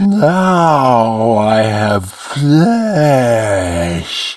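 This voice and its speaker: This put-on character voice sits at a low-to-middle pitch and sounds resonant. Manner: slobbering.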